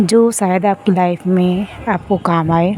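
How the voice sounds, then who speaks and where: Breathy and medium in pitch, a woman speaks with fairly even intonation. Noticeable background noise runs under her voice. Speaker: spiritual guide. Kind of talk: spiritual self-help talk. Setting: outdoors, walking. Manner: breathy, recorded while walking; unscripted, casual.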